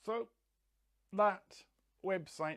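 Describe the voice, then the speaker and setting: The speaker is a man with an English accent. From England. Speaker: educator and coach. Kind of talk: monologue.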